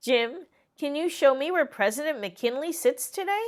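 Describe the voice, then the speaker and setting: A woman speaks in a put-on character voice. Her pitch is high and her pace moderate. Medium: read story. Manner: patient, warm.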